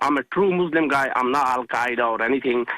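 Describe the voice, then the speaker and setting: A man with a Pakistani accent talks at a moderate pace, medium in pitch with ordinary pitch variation. Noticeable background noise runs under his voice. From Pakistan, village. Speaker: caller. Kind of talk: radio call-in. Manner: halting.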